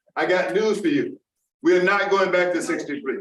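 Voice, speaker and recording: An American accent marks this man's moderate-paced speech, with very wide pitch swings and audible room echo. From Charleston, South Carolina. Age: 70s. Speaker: public commenter at school board meeting. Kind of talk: public comment speech. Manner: impassioned, forceful.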